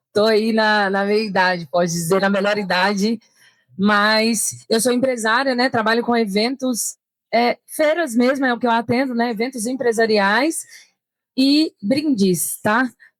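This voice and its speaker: With an unremarkable speaking voice, a woman talks at a fairly high pitch and a fairly slow pace, her pitch varying in an ordinary way and her loudness very even, on a very clean recording with a silent background and a dry, close sound with no echo. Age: 30s. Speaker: events entrepreneur and digital nomad. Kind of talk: panel discussion. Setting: trade fair stand with live audience.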